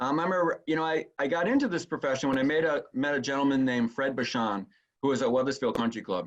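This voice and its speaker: A man speaks at a very fast pace with ordinary pitch variation. His loudness stays very even. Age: 60s. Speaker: golf course superintendent. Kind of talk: interview.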